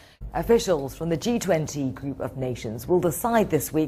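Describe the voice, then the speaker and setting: Against noticeable background noise, a woman talks at a moderate pace with very wide pitch swings. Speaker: news presenter. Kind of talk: TV news read.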